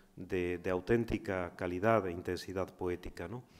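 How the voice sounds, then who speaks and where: An ordinary speaking voice moves at a moderate pace with fairly even intonation. The background is quiet. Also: man. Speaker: university professor and event organizer. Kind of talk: formal welcome speech. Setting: lecture room. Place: hall. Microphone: podium.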